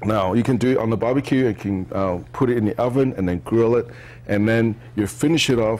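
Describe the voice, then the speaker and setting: With ordinary pitch variation, a man moves along at a fairly quick pace. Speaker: cooking show host. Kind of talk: tutorial. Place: studio.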